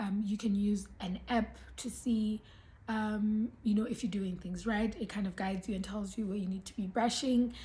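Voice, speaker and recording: Somewhat breathy and dark and mellow in tone, a woman speaks at a medium pitch and a moderate pace with monotone, flat intonation. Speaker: beauty and lifestyle vlogger. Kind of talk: casual vlog talk to camera. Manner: hesitant, many ums.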